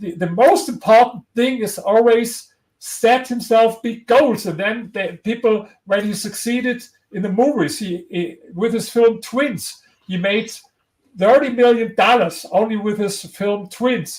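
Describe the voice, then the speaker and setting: A man's high voice, fairly slow, with ordinary pitch variation. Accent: strong German. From Germany. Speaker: historian and author. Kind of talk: interview. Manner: halting.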